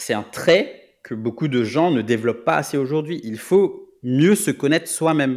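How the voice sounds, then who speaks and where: A man with a fairly high voice talks at a fairly slow pace with hardly any pauses. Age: 30s. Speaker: product manager. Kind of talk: interview. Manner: halting.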